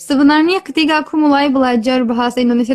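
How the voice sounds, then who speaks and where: Music plays in the background. The speech comes at a very fast pace with fairly even intonation. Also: woman. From Turkey (Kurdish). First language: Kurdish or Turkish (speaking Indonesian). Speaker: language tutor. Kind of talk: interview.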